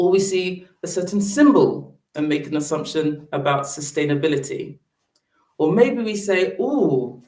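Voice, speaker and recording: A woman with a British accent, lively intonation and a fairly slow pace. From Britain. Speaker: public speaker on sustainable fashion. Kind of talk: presentation talk.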